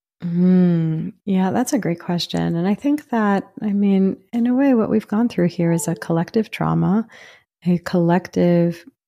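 Her voice is fairly low in pitch, with a soothing, calm tone that is dark and mellow, and she speaks at a fairly slow pace. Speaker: psychiatrist and author. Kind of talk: interview.

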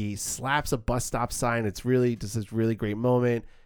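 A man speaks in a New York accent. His pitch is medium and his pace moderate. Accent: mild New York. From New York City. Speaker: podcast co-host, film reviewer. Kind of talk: casual film discussion. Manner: halting, repeats words.

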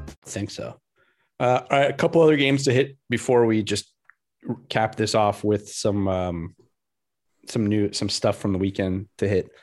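Over a quiet background, the speech runs at a moderate pace with ordinary pitch variation and long, frequent pauses. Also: man, fairly low pitch for a man. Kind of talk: casual sports banter. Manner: conversational, animated, rambling.

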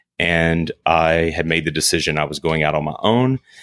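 A man's very deep, low voice at a moderate pace, with ordinary pitch variation and a dry, close sound with no echo. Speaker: interior design firm principal. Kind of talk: casual interview.

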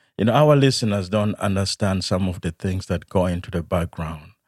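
Very clean with a silent background, the recording has a dry, close sound and no echo. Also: man. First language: not English. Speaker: hospice chaplain, podcast host. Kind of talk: podcast interview. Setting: studio.

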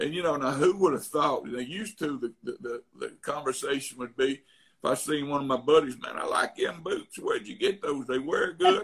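A man speaks with an Alabama accent at a fairly high pitch. His pitch varies in an ordinary way. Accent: Alabama Southern. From Tuscaloosa, Alabama, US South. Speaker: real estate investor. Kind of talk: casual interview chat. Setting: remote call.

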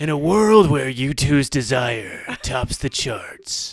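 A man uses a put-on character voice, pitched fairly high, and speaks at a very slow pace. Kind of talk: radio announcer voice. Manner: dramatic.

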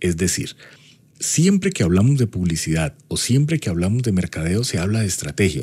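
A very deep, low-pitched man's voice, dark, mellow and somewhat breathy, with lively intonation at a moderate pace. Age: 40s. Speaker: university lecturer and marketing consultant. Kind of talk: personal anecdote; podcast lecture.

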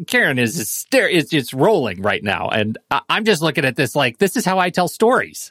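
A man's voice with very wide pitch swings, dry and close with no echo, on a very clean recording with a silent background. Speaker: co-host. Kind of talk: casual interview chat.

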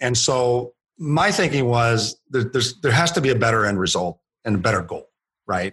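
A plain, everyday voice from a man, medium in pitch, with lively intonation at a moderate pace against a quiet background. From US, Puerto Rican father and Kentucky mother. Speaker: author and founder of a cultural training company. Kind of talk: podcast interview.

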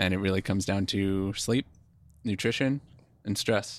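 With an American accent, a man speaks at a moderate pace in a fairly low pitch with fairly even intonation. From eastern Pennsylvania. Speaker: physical therapist. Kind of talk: casual chat.

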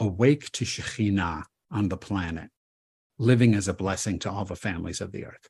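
A somewhat breathy man at a moderate pace, lively intonation, over a quiet background. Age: 70s. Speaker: rabbi and author. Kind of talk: interview conversation.

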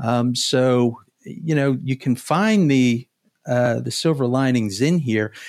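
Here a man speaks in a calm tone. His pitch is fairly high, with ordinary variation. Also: very clean recording, silent background. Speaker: sales tax consultant. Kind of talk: podcast interview. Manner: hesitant, many fillers.

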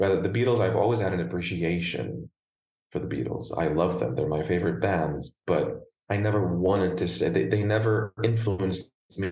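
A man's very deep, low voice with vocal fry and lively intonation, at a fairly quick pace. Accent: American. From Lebanon, Beirut. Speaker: opera and crossover singer. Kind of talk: interview. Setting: video call.

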